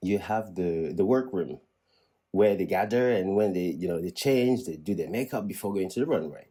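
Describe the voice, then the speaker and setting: In a very clean recording with a silent background, a man speaks with a French accent and a dark, mellow tone. His pitch is fairly low with ordinary variation, at a moderate pace. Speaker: vlogger. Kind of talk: casual vlog monologue. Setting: indoors at home. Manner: halting, many repetitions and restarts.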